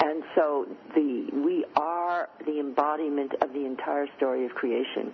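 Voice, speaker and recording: A woman with a very deep, low voice speaks fairly slowly and with fairly even intonation. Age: 80s+. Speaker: futurist and author. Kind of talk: interview.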